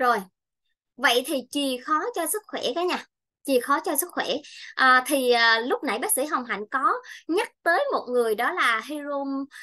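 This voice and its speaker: Against a quiet background, a woman projects a raised, bright, sharp voice at high pitch, fairly slow, with lively intonation. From Vietnam, Bình Thuận; Vietnam. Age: 30s. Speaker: nutrition consultant; presenter. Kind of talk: health seminar talk. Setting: presentation to audience with mic. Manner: halting, many fillers. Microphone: webcam.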